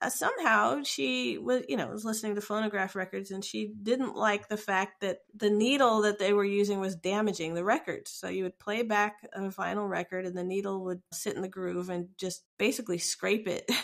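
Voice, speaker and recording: A woman's medium-pitched voice at a moderate pace, with ordinary pitch variation and hardly any pauses. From US, Ohio. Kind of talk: interview.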